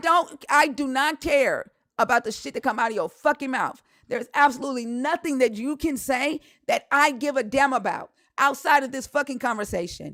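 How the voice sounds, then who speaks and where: A woman puts on a loud, hoarse character voice at a high pitch with an angry tone. She keeps a moderate pace. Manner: angry, loud.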